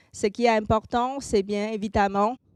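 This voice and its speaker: With a Chinese accent and fairly even intonation, the voice comes through a very clean recording with a silent background and a dry, close sound with no echo. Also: woman. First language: Mandarin (speaking French). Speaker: marketing consultant and speaker. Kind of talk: conference talk.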